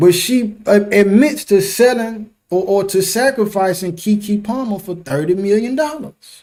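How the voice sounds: The tone is slightly mellow, the pace fairly slow, and the pitch varies in an ordinary way. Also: man, high pitch for a man.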